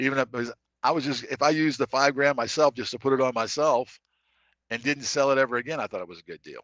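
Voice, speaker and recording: A man's fairly high voice at a very fast pace, with fairly even intonation, big swings in loudness and a dry, close sound with no echo. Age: 60s. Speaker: salesman. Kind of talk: casual chat. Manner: halting.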